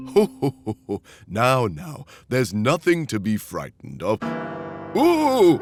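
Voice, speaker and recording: A man's cartoonish character voice at a fairly slow pace, with long, frequent pauses and faint music in the background. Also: medium pitch for a man. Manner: jovial, chuckling.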